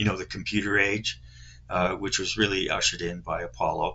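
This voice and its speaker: A man speaks with a Canadian accent. His voice sits fairly low. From Canada (Toronto). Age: 60s. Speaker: scale model hobbyist YouTuber. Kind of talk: casual monologue, kit review. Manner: halting, many fillers.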